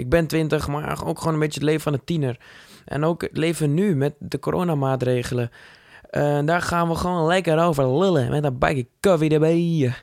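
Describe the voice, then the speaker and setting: Fairly high for a man, his voice moves at a moderate pace with fairly even intonation. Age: 20s. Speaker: podcast host, drama student and actor. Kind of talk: casual solo podcast introduction. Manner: casual, hesitant with fillers.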